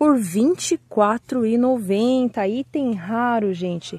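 With a Brazilian accent, a woman speaks high in pitch with an upbeat tone and lively intonation, the sound dry with no echo and the background quiet. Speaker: orchid seller. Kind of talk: sales pitch, showing and pricing each plant in an order. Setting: video, holding plants up to the camera. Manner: urgent, upbeat pitchman patter, pushing listeners to buy now; chatty and friendly, addressing viewers as 'gente'. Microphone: phone near.

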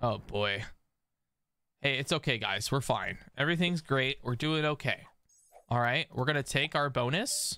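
The voice has a bright, sharp tone and very even loudness, moving at a moderate pace with long, frequent pauses in a dry sound with no echo. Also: man, fairly high pitch for a man, ordinary pitch variation. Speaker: gaming streamer. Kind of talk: casual chat. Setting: live stream. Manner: animated; joking. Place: home room. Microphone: studio mic.

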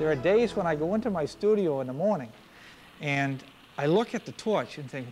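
Faint music plays in the background. A man talks at a fairly quick pace. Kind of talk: interview answer. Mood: reflective, calm. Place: workshop. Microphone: lapel.

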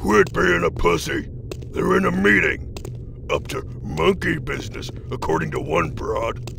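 There is loud background noise as a man talks at a moderate pace. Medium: audio drama. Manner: cocky, mocking.

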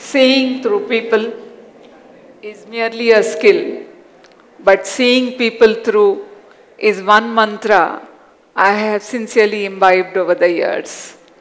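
In a Hyderabadi accent, a woman with a fairly high pitch talks at a very slow pace, her intonation fairly even and broken by long, frequent pauses. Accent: Indian English (Hyderabadi). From Hyderabad, India. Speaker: educator and self-awareness coach. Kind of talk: personal life story talk. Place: stage. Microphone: headset.

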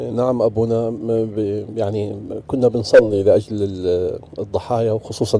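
A man with a Jordanian accent speaks at a fairly low pitch and a fairly slow pace. His intonation is monotone and flat, and the sound is dry with no echo. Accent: Levantine Arabic (Jordanian). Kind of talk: talk show discussion. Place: studio. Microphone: studio mic.

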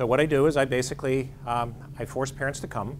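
A man speaks with an American accent in a monotone, flat intonation. Light background noise can be heard. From western Pennsylvania. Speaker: psychologist and ordained clergyman. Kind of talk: lecture. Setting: stage with audience. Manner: fast talker. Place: meeting room.

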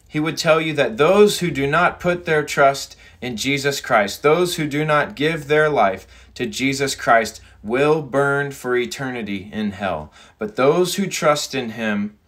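The background is quiet as a man speaks fairly slowly. His intonation is lively. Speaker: preacher. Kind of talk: sermon. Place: home room. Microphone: phone near.

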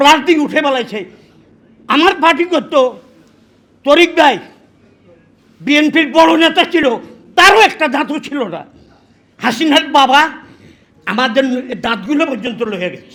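An extremely high-pitched man speaks in a raised, projected voice with an animated tone, lively intonation and big swings in loudness. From Bangladesh, Noakhali (Lakshmipur). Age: 80s+. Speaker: war veteran. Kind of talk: political speech.

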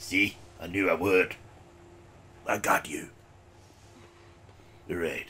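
A raspy put-on character voice from a man, at a fairly slow pace with long, frequent pauses. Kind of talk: let's play commentary. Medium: puppet. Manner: upbeat, playful.

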